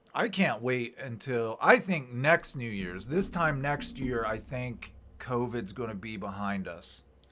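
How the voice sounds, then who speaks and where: A man's medium-pitched voice at a fairly slow pace, lively in intonation and with hardly any pauses, over music in the background. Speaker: YouTuber hosting live chat. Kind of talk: casual live stream chat. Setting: live stream.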